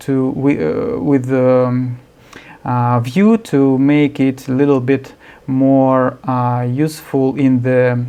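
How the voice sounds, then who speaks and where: Speech comes at a very slow pace. It carries a non-native accent. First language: not English. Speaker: software developer. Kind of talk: screencast tutorial. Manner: halting, many fillers.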